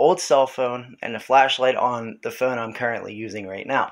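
The background stays quiet. A man is the speaker. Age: 30s. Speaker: video blogger recounting paranormal experiences. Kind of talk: casual video message. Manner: halting, with many fillers. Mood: earnest, explaining. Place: home room. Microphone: phone near.

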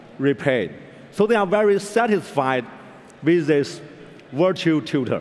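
Intonation rises and falls in a lively way. The speaker is a man. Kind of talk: keynote talk. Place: stage. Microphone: headset.

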